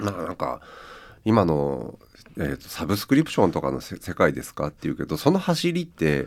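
A man at a fairly quick pace with big swings in loudness, on a very clean recording with a silent background. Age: 50s. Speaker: writer and editor, radio presenter. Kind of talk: casual radio interview.

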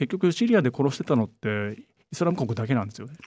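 A man's dark, mellow tone with very wide pitch swings. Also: dry, close sound with no echo. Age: 40s. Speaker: journalist. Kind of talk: interview.

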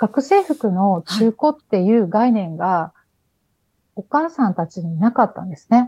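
A woman with a fairly high, somewhat breathy voice and a dark, mellow tone speaks at a fairly slow pace with lively intonation and big swings in loudness, in a dry, close sound with no echo. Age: 50s. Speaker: business owner. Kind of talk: radio interview.

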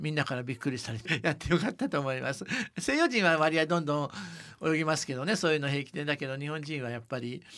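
Over a quiet background, a man with a fairly high pitch and a bright, sharp tone talks at a very fast pace with ordinary pitch variation. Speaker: company advisor and travel author. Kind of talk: interview.

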